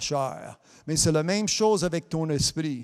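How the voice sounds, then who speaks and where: A man with an English accent, a high pitch, lively intonation and a very slow pace. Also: very clean recording, silent background. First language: English (speaking French). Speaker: preacher. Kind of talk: sermon. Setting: broadcast also streamed on Facebook.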